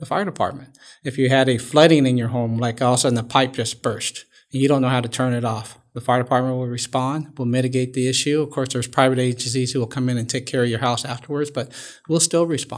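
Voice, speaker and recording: Very fast and at medium pitch, a man speaks with fairly even intonation in a very clean recording with a silent background. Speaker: fire chief. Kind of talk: interview.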